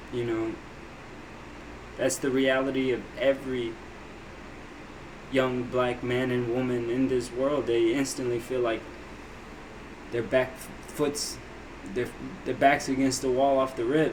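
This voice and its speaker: A man speaks in a monotone, flat way at a fairly slow pace, with long, frequent pauses. Noticeable background noise and audible room echo are present. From abroad, moved to US at six. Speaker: reaction video creator. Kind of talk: casual commentary on a video. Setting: home office.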